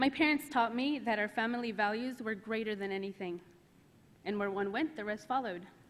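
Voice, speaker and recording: At a fairly quick pace, a plain, everyday voice shows ordinary pitch variation. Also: woman. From US South, Arkansas (moved from Mexico at five). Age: 30s. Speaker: immigrant rights advocate. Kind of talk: congressional testimony. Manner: formal.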